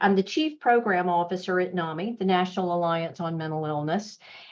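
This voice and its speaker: A woman speaks at medium pitch. She has a strong Southern US accent. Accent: Southern US, thick. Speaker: mental health nonprofit executive. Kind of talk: webinar presentation. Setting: online webinar. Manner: conversational, with fillers.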